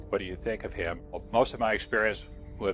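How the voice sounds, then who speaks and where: Background music under a man speaking with an American accent. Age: 70s. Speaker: war veteran. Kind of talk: testimony. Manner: halting, with fillers.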